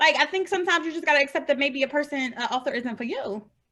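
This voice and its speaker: A woman speaks at a very fast pace in a raised, projected, animated voice, high in pitch with very wide pitch swings. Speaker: indie romance author. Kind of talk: casual interview chat. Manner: loud.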